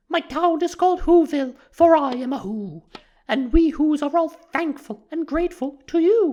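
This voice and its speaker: Using a put-on character voice, a woman speaks in a high pitch at a moderate pace with ordinary pitch variation. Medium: read story.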